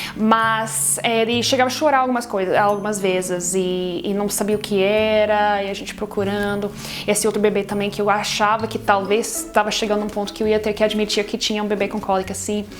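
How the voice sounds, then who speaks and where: With music in the background, a woman speaks at a fairly quick pace and medium pitch, with hardly any pauses and fairly even intonation. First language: not Portuguese (speaking Portuguese). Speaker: foster parent and baby care vlogger. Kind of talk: casual talk to camera. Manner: halting, many fillers and restarts.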